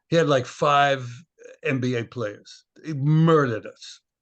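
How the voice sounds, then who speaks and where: The man speaks at a very slow pace. His pitch is fairly high, with ordinary pitch variation. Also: quiet background. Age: 80s+. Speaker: basketball historian and former coach. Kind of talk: casual interview conversation.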